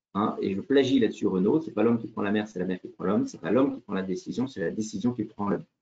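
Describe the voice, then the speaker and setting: This man has a dark, mellow tone and his pitch swings very widely. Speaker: leadership consultant and former army officer. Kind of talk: online lecture. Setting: video call. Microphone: video call.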